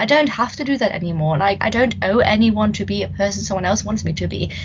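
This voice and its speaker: A woman with a German accent and lively intonation, against noticeable background noise. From Germany. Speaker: podcast host, student union wellbeing officer. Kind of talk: casual chat.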